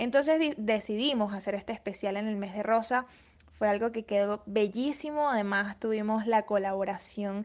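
A woman with a medium pitch, ordinary pitch variation and an ordinary speaking voice. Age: 20s. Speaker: model and student presenter. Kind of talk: interview.

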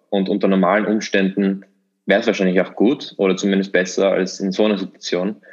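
Against a quiet background, the voice moves at a moderate pace with monotone, flat intonation. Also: man. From Austria, Vienna. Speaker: podcast co-host, student investor. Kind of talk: casual chat.

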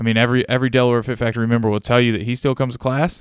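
This man has a Midwestern American accent and a medium pitch, heard against a quiet background. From Ohio, US Midwest. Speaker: gym owner and CrossFit coach. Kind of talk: solo podcast monologue. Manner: casual, conversational.

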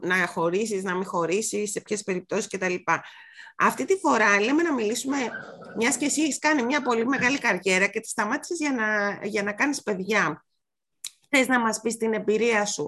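An unremarkable speaking voice with ordinary pitch variation. The pace is moderate. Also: woman. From Greece, Mani. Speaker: podcast host. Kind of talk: casual chat.

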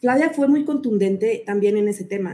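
A woman with a Mexican accent speaks at a moderate pace in a fairly high, dark, mellow voice that is somewhat breathy, with ordinary pitch variation. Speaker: podcast host, adoptive mother. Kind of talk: interview.

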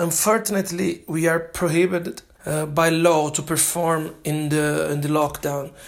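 A man with a Brazilian accent speaks at a moderate pace and a fairly high pitch, his intonation monotone and flat. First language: Portuguese. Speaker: jazz drummer and language student. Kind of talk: prepared self-recorded monologue. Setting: self-made recording sent in. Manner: halting.

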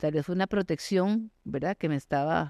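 A woman talks at a fairly quick pace in a fairly low pitch with a dark, mellow tone and ordinary pitch variation, the sound dry and close with no echo against a quiet background. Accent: Costa Rican. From Costa Rica, San José. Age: 50s. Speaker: mountaineer and endurance athlete. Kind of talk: interview.

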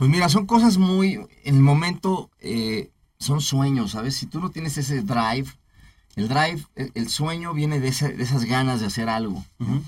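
A man speaks at a moderate pace, fairly high in pitch and somewhat breathy. His intonation is lively. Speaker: entertainment producer, entrepreneur. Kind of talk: interview chat.

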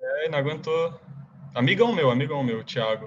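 Speaking at a moderate pace with ordinary pitch variation, a man uses an ordinary speaking voice. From Brazil, Rio de Janeiro. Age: 20s. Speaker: college soccer player. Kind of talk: casual interview.

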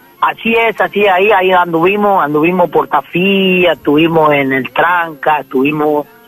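Noticeable background noise accompanies a man speaking in a high pitch with ordinary pitch variation. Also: dry, close sound with no echo. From Formosa, northern Argentina. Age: 20s. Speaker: folk singer. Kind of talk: radio interview.

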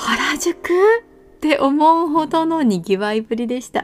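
At a fairly slow pace, a woman speaks with a warm tone and lively intonation. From Japan, Kanazawa (Ishikawa). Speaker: podcast host. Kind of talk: solo podcast narration. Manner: warm, friendly.

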